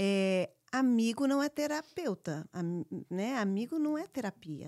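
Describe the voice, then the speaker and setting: A woman's dark, mellow voice with very wide pitch swings, dry and close with no echo, on a very clean recording with a silent background. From born in US, raised largely in Brazil. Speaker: podcast co-host. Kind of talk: casual chat.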